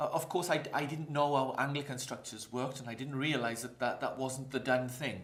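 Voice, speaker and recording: Fairly quick speech in a Welsh accent, with fairly even intonation, noticeable background noise and audible room echo. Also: man, medium pitch for a man. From Wales, Maesteg near Swansea. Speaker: pastor. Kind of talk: interview.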